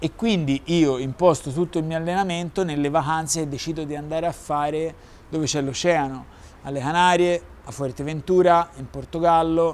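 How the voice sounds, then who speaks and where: A man speaks in a fairly high voice with a Florentine accent. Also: fairly even intonation, moderate pace. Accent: Florentine Italian. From Tuscany, Florence. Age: young. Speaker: adaptive surfer, wheelchair user; interview guest. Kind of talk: interview. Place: garden.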